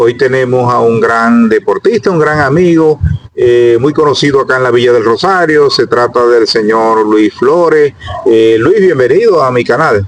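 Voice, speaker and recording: A man at a medium pitch, speaking at a fairly slow pace with ordinary pitch variation and noticeable background noise. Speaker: YouTube interviewer, local chronicler. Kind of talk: interview. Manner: loud; hesitant.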